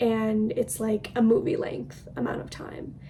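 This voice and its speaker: Moderately paced speech from a woman, noticeable noise behind her. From Ireland. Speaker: book youtuber. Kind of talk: casual book recommendation vlog. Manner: casual, filler-heavy.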